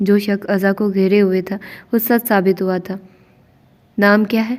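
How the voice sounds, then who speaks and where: A woman at a medium pitch with monotone, flat intonation. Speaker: novel narrator. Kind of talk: reading aloud; casual chat. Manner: pauses from coughing.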